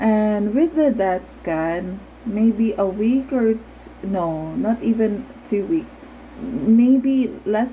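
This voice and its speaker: A woman at a very slow pace, with ordinary pitch variation and light background noise. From Philippines. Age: 30s. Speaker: vlogger with Parkinson's disease. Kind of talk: personal testimony; casual vlog chat. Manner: halting, with fillers. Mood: earnest, reflective. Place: home room. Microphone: phone near.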